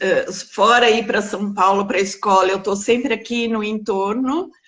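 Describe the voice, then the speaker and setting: A woman speaks at a very slow pace and a medium pitch, in a calm tone. Her pitch variation is ordinary. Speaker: biographical counselor. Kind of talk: interview.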